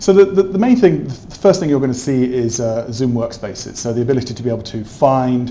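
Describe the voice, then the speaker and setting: Amid noticeable background noise and audible room echo, a man with an English accent speaks at a medium pitch with ordinary pitch variation. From England. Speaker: tech company specialist. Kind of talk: interview. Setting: trade event in an office.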